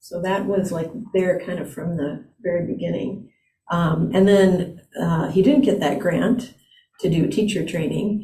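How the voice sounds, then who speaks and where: Speaking fairly slowly, a woman with a normal speaking voice and fairly low pitch shows ordinary pitch variation. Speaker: Buddhist priest and teacher. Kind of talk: dharma talk conversation.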